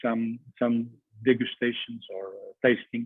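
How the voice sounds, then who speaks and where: Here a man speaks at a medium pitch. He talks with a Portuguese accent. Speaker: cheesemonger. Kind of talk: online masterclass presentation. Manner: halting, many fillers.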